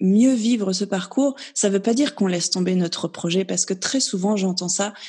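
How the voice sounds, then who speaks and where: A woman speaks at medium pitch in a dark, mellow, somewhat breathy voice with ordinary pitch variation. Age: 30s. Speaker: naturopath sharing her fertility journey. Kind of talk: interview testimony.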